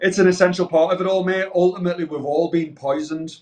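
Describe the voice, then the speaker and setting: This man has a British accent. He speaks at a fairly quick pace. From Britain. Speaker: vegan activist and sober party organizer. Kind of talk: interview conversation. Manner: animated; repetitive stumbling.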